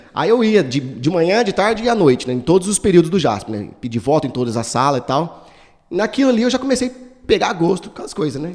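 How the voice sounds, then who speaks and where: Over noticeable background noise, a man with a high pitch talks at a fairly quick pace, making very wide pitch swings and big swings in loudness. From Brazil, São Paulo state interior. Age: 40s. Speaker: political candidate. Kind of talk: interview. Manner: casual, hesitant.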